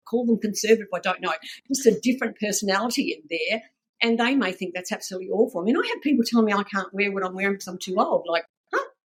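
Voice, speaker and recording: At a very fast pace, a woman with a fairly high pitch sounds somewhat breathy. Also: ordinary pitch variation. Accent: Australian. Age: 70s. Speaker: fashion brand founder. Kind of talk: casual chat. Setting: podcast interview.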